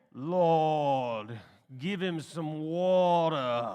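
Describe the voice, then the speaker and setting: A man puts on a character voice with a fairly high pitch and ordinary pitch variation. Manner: fervent, praying.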